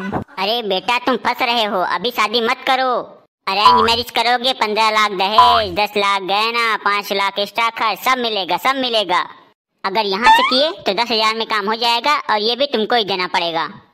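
In a cartoonish character voice, a woman speaks at a moderate pace with a fairly high pitch and fairly even intonation. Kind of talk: comic overacting. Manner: exasperated, preachy, then fawning and panicked.

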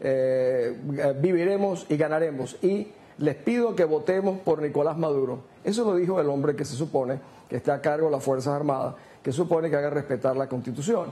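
Her pitch is very deep and low, with ordinary variation. The woman talks at a fairly quick pace. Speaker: political commentator. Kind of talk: news interview. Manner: assertive. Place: studio. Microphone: lapel.

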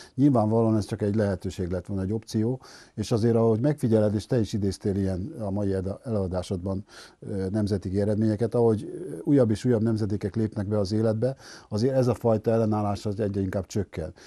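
Over a quiet background, a man talks very fast in a fairly low voice with a dark, mellow tone and fairly even intonation. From Hungary, Budapest; Hungary. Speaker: sociologist; guest. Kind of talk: interview. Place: studio. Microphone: lapel.

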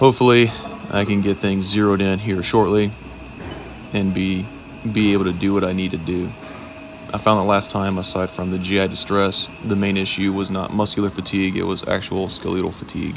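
Over noticeable background noise, a man talks fairly quickly in a flat monotone at a fairly low pitch. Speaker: ultramarathon runner. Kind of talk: casual talk to camera.

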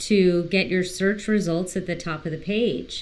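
In a normal speaking voice, a woman at medium pitch talks at a fairly slow pace. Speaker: podcast co-host. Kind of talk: podcast interview.

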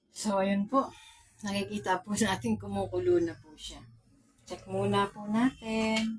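A woman talks at a fairly slow pace with big swings in loudness amid noticeable background noise. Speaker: cooking vlogger. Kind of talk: cooking tutorial. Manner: soft-spoken. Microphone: no external mic, quiet.

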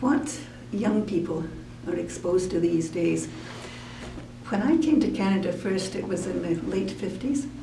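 Moderately paced speech from a woman, noticeable background noise behind it. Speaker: activist, grandmother. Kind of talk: casual talk to camera. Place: studio.

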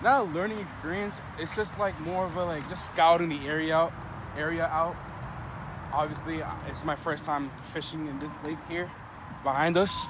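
Noticeable background noise sits behind a man talking at a moderate pace. The sound is dry, with no echo. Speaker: vlogger fisherman. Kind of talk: casual vlog chat. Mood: relaxed, reflective. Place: waterside. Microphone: phone near.

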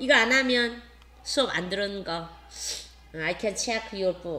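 Moderate pacing and lively intonation against noticeable background noise. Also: woman. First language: Korean. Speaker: primary school English teacher. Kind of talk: online class lesson. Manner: halting, many fillers.

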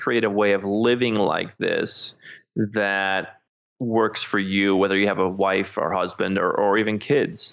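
In a plain, everyday voice, a man with a fairly low pitch talks at a fairly slow pace against a quiet background. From United States. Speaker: author and expat consultant. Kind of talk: interview.

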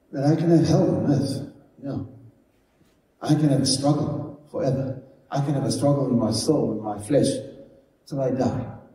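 Amid audible room echo, a man with a fairly high pitch talks with fairly even intonation and long, frequent pauses. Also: moderate pace. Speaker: pastor. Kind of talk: sermon. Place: church.

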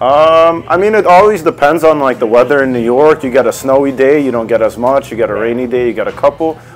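Faint music plays in the background as a man speaks at a very fast pace, with hardly any pauses and ordinary pitch variation. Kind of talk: interview answer. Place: shop. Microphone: lapel.

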